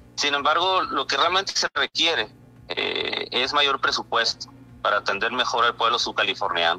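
Music plays in the background as a man talks at a moderate pace with very even loudness. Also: dry, close sound with no echo. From Mexico, Baja California (Isla de Cedros). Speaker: local correspondent. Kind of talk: radio interview.

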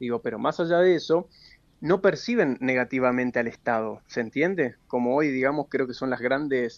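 A man with a plain, everyday voice speaks at a moderate pace and medium pitch, with ordinary pitch variation, against a quiet background. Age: 30s. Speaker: politician and public administrator. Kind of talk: radio interview. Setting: phone or remote line.

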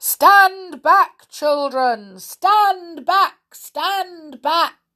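A woman shouts loudly in a put-on character voice at an extremely high pitch. She moves at a very slow pace. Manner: loud, commanding shout.

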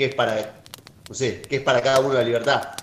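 This man speaks with an Argentine accent. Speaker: podcast host. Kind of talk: casual chat.

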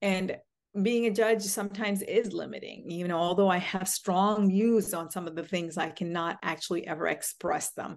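Using a plain, everyday voice, a woman talks at a medium pitch and a moderate pace. Her intonation stays fairly even. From US, Indian American family. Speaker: judge. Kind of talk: interview.

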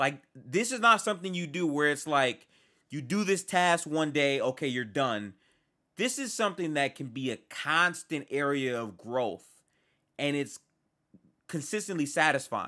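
A man's fairly high voice with a bright, sharp tone at a moderate pace, on a very clean recording with a silent background. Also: lively intonation. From Detroit, US. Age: 20s. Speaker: podcast host. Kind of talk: solo podcast monologue. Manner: casual, halting.

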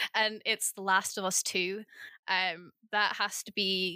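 A woman speaks in a bright, sharp tone with a Scottish accent. The recording is very clean, with a silent background. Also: dry, close sound with no echo. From northeast Scotland. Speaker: podcast co-host. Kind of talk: interview.

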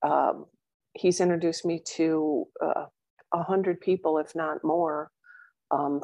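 Fairly slow, fairly even speech from a woman, dark and mellow in tone with a fairly low pitch. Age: 60s. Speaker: widow, coaching client. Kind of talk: interview.

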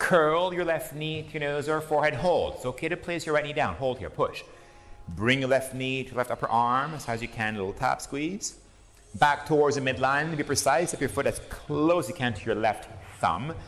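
Fairly quick speech with ordinary pitch variation over background music. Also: man, fairly high pitch for a man. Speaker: yoga instructor. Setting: class with participants present. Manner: calm, soothing imperative cues, short commands paced to the breath; gentle and encouraging, spiritual asides woven into instructions.

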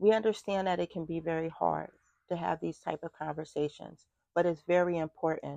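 At a moderate pace, a woman uses a normal speaking voice with fairly low pitch and fairly even intonation. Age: 40s. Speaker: podcast host. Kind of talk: casual chat.

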